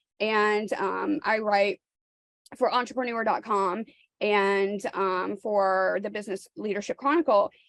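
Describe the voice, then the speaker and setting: At a fairly slow pace, a woman with an American accent speaks at a medium pitch with ordinary pitch variation, the sound dry and close with no echo. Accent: Southern accent here and there. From New York, then US South from childhood. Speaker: realtor. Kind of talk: coaching call.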